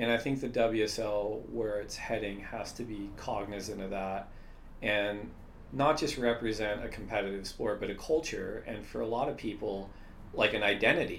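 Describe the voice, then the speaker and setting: Room echo can be heard as a man speaks at a moderate pace. His pitch is fairly low, with ordinary pitch variation. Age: 30s. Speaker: surf league executive. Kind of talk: casual interview.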